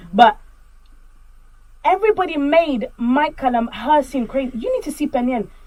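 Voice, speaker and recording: A loud, high-pitched woman with an animated tone, lively intonation and long, frequent pauses. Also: moderate pace. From Congolese community. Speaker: podcast co-host. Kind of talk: casual chat.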